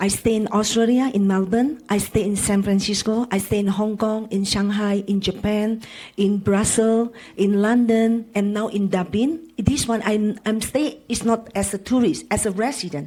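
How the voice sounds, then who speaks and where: Speaking with an Indonesian accent, a woman with a fairly high pitch keeps a moderate pace and fairly even intonation. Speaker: panelist. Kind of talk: panel discussion.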